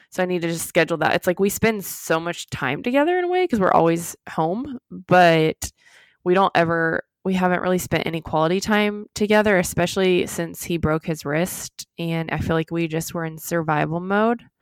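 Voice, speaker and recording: A woman's fairly low voice moves at a moderate pace with ordinary pitch variation, sounding dry and close with no echo on a very clean recording with a silent background. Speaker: podcast co-host. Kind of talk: casual chat between sisters.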